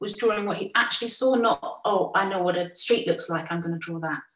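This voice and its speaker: A woman at medium pitch, with ordinary pitch variation, speaks in a room with audible echo but a quiet background. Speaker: artist and drawing teacher; drawing teacher. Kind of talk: slide presentation. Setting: video call. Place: home room. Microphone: video call.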